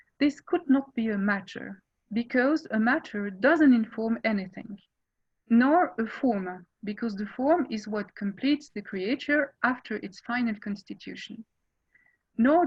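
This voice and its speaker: With a French accent, a woman talks in a somewhat breathy, fairly high voice at a fairly slow pace. Her loudness swings widely. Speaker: philosophy scholar. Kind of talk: academic lecture. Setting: video call.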